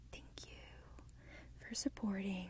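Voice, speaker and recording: A woman's voice comes through dry, with no echo at all. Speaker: ASMR creator. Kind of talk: soft-spoken ASMR guided session.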